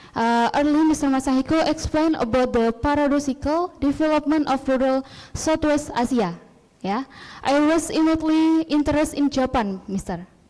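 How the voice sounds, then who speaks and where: A woman talks at a fairly quick pace with a high pitch and a dark, mellow tone. Her loudness stays very even, and her pitch varies in an ordinary way. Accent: Indonesian. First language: Indonesian. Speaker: student asking a question. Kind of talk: conference Q&A question. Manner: halting.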